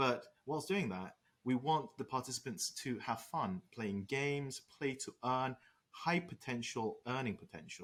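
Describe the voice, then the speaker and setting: A man's medium-pitched voice in a British accent, with lively intonation at a moderate pace. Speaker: startup co-founder. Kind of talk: interview.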